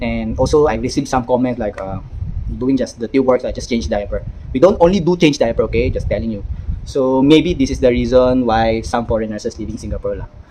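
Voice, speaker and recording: A man rattles through his words at a very fast pace as noticeable background noise carries on. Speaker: nurse and vlogger. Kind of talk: casual vlog monologue. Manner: halting.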